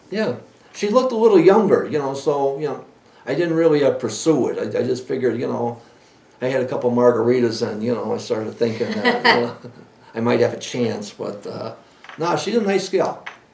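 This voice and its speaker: Amid noticeable background noise and audible room echo, a man with a fairly high pitch talks at a fairly quick pace, his pitch swinging very widely. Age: 60s. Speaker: podcast host and cannabis breeder. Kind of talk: casual chat. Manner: halting.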